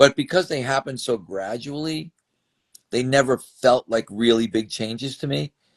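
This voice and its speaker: With an unremarkable speaking voice at medium pitch, a man talks at a moderate pace with ordinary pitch variation, the sound dry and close with no echo. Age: 60s. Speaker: strength and conditioning coach. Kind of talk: interview. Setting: video interview on camera.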